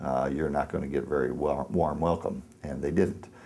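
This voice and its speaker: A man speaks at a fairly quick pace in a very deep, low voice with vocal fry. His tone is dark and mellow, and his intonation stays fairly even. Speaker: shooting survivor. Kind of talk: interview answer. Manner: hesitant, reflective.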